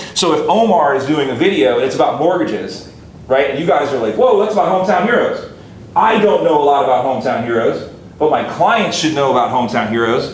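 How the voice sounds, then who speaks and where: Animated and very fast, a man talks in a fairly high voice with lively intonation, audible room echo and noticeable background noise. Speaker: marketing instructor. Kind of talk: lecture.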